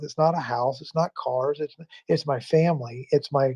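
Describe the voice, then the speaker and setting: This man's voice is fairly high-pitched and somewhat breathy, with fairly even intonation, a moderate pace, and a dry, close sound with no echo. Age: 60s. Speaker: live stream talk show host. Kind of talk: reflective spiritual talk. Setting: live stream with callers.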